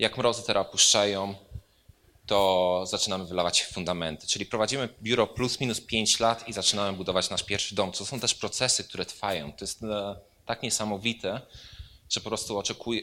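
A man with a fairly low pitch and a bright, sharp tone speaks at a fairly quick pace, his intonation fairly even. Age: 30s. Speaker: architect. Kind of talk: lecture.

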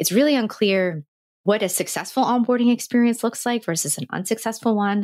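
On a very clean recording with a silent background, a woman speaks with an American accent in a normal speaking voice. Her pitch is fairly high, with ordinary variation, and her pace fairly quick. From US Northeast, New Jersey. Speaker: user onboarding consultant. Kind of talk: casual interview.

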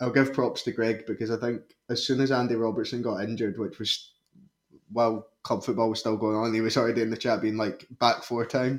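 In a Scottish accent, the speaker keeps a monotone, flat intonation at a moderate pace. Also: man. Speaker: football fan pundit. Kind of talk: casual chat.

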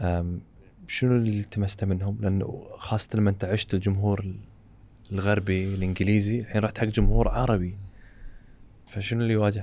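With a Kuwaiti accent, a man speaks at a moderate pace in a dark, mellow tone and fairly low pitch. His intonation is monotone and flat, and his loudness very even. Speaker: podcast host. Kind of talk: podcast interview. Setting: studio.

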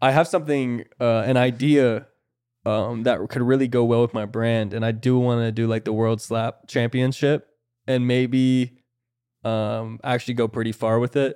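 On a very clean recording with a silent background, a man with an American accent speaks at a moderate pace and medium pitch in a monotone, flat delivery. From Florida. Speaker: podcast host. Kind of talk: casual chat. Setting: studio.

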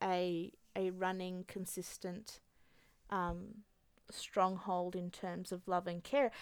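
This woman, with an Australian accent and a medium pitch, speaks at a very slow pace. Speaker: single mother. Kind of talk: testimony. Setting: studio.

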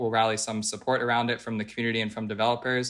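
A man races along at a very fast pace with a medium pitch, a bright, sharp tone, and monotone, flat intonation in a very clean recording with a silent background. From Philadelphia, Pennsylvania. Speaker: crypto music platform executive, former artist manager. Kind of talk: podcast interview. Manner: casual, filler-heavy.

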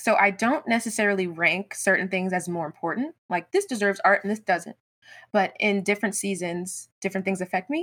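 A woman with an American accent uses a normal speaking voice at a medium pitch, talking at a fairly quick pace with ordinary pitch variation in a very clean recording with a silent background. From US South. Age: 20s. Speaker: graphic designer and entrepreneur. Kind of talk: interview.

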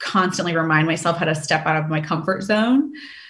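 Audible room echo surrounds a voice in an American accent that shows ordinary pitch variation. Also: woman. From US South, Richmond, Virginia. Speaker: sales executive. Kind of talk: interview. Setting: video call.

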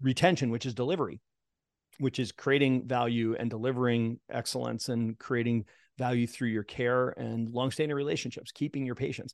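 Against a quiet background, a man talks at a fairly quick pace with medium pitch and fairly even intonation. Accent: American. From Boston, US. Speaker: chiropractor and practice coach. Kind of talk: interview.

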